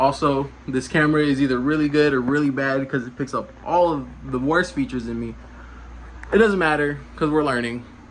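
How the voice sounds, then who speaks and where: Mumbling, a man talks at a moderate pace. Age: young. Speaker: car vlogger. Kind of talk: casual vlog monologue. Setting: walking around, self-filmed. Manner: casual, halting with fillers.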